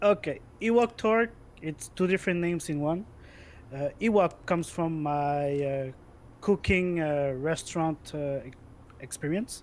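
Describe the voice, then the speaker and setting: A man with a Quebec accent, at a fairly slow pace. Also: fairly high pitch for a man, ordinary pitch variation. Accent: French Canadian accent in English. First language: French. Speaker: gamer, esports player. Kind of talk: interview chat. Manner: loud.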